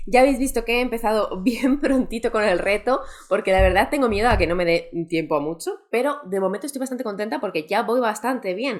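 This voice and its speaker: Pitched fairly high, a woman's voice moves at a fairly quick pace. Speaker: booktuber. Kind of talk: vlog. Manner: soft-spoken.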